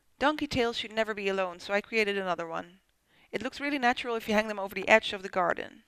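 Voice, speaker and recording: Very fast delivery pairs with ordinary pitch variation. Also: woman, fairly high pitch for a woman. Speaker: polymer clay crafter. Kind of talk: craft tutorial voice-over. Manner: casual, friendly.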